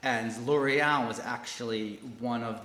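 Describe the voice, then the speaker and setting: Noticeable background noise and audible room echo surround a man with an American accent speaking at a medium pitch. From United States. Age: 40s. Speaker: corporate learning director. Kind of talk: interview.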